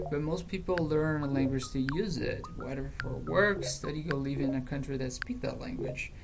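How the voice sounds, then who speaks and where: A woman with a Brazilian accent speaks at a moderate pace with hardly any pauses, amid audible room echo and noticeable background noise. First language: Portuguese. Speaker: language learning youtuber. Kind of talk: opinion monologue.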